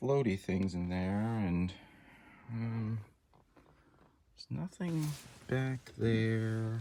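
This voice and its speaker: Soft-spoken and very slow, a man at medium pitch has a dark, mellow tone and lively intonation. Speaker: great-uncle making a video message. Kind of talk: explaining to a child.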